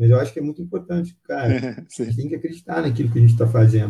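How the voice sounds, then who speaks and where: A man talks at a very fast pace. His tone is dark and mellow, and somewhat breathy. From Brazil, Minas Gerais (Pará de Minas). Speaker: sales development lead. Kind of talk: casual interview.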